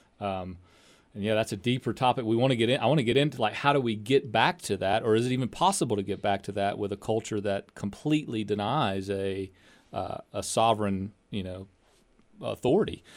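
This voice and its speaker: On a very clean recording with a silent background, a man with a plain, everyday voice talks at a fairly quick pace and a fairly low pitch, with ordinary pitch variation. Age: 30s. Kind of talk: interview. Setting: studio.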